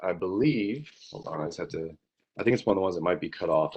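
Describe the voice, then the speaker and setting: A man is speaking. His pitch sits fairly low. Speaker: complainant in a utility hearing. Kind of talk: formal hearing testimony. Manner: fast.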